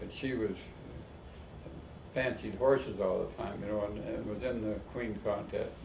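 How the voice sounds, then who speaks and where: A man with a western Canadian accent at a fairly low pitch, fairly slow pace and fairly even intonation, with audible room echo. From Canada, Medicine Hat, Alberta. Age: 80s+. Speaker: rodeo board member. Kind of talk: interview.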